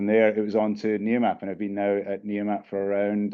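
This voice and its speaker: With a British accent, a man talks at a very fast pace. His fairly low voice stays monotone and flat. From UK. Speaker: company CEO. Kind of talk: panel interview. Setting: conference session. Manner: hesitant fillers, repeats words.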